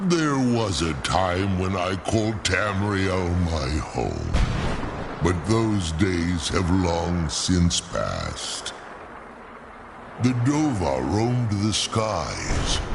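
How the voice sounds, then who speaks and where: A put-on character voice at a very slow pace, with clear background noise. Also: man, very deep, low pitch for a man. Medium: short film. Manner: formal, archaic, measured.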